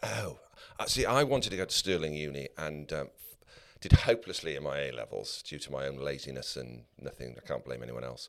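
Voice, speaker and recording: This man speaks with a very deep, low pitch and vocal fry, his loudness swinging widely. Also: ordinary pitch variation, fairly quick pace. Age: 60s. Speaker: podcast co-host. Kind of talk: interview.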